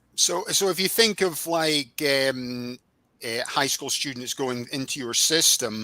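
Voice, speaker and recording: A man's bright, sharp voice with a Scottish accent, fairly high-pitched, at a fairly slow pace with ordinary pitch variation. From Scotland. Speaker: podcast host. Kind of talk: interview.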